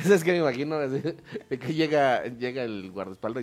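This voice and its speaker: Noticeable background noise sits behind this man. His voice is medium in pitch with ordinary pitch variation. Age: 40s. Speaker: podcaster and actor. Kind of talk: casual chat.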